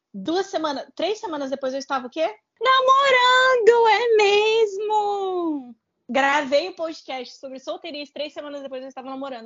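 Her high voice swings very widely in pitch and greatly in loudness as the woman speaks at a moderate pace. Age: 20s. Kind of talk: casual chat.

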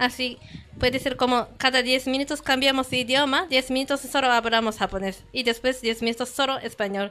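Her raised, projected voice is high-pitched and bright, sharp in tone, and this woman keeps her intonation fairly even. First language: Japanese (speaking Spanish). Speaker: language meetup organizer. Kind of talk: casual chat. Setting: studio. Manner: halting.

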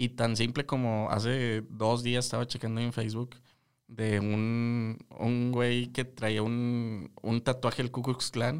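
In a very clean recording with a silent background, the speaker talks at a very slow pace in a monotone, flat intonation with very even loudness. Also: man, medium pitch for a man. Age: 20s. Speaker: podcast co-host, psychologist. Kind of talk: casual chat.

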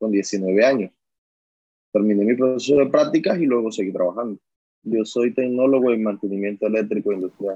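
At a moderate pace, a man speaks with a dark, mellow tone in a dry, close sound with no echo. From Colombian Caribbean coast, La Guajira / Barranquilla. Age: 30s. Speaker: coal miner and trade unionist. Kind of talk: interview testimony. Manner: hesitant, with fillers.

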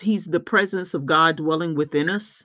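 On a very clean recording with a silent background, a woman with an ordinary speaking voice talks at a fairly slow pace, her fairly low pitch showing ordinary pitch variation. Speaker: podcast host. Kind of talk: podcast intro and outro.

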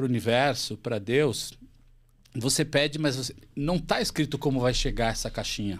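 Using a normal speaking voice, a man talks at a fairly quick pace and medium pitch with ordinary pitch variation, on a very clean recording with a silent background. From Santa Catarina, Brazil (Chapecó). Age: 40s. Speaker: company CEO. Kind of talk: interview conversation.

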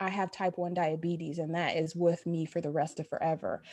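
A dark, mellow tone with a Midwestern US accent. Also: woman. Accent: US Midwest. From Dayton, Ohio. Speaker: family doctor. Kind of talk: casual interview.

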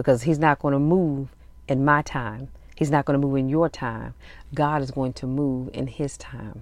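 Moderate pace in a very clean recording with a silent background. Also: woman, very deep, low pitch for a woman. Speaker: podcast host. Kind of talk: podcast commentary reading out notes from a sermon.

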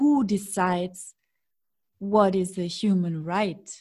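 A woman's voice has a dark, mellow tone and is somewhat breathy. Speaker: podcast host. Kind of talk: interview conversation.

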